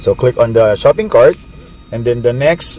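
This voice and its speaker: A man speaks over noticeable background noise. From Philippines. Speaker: network marketing distributor. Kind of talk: tutorial. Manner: casual, hesitant with fillers.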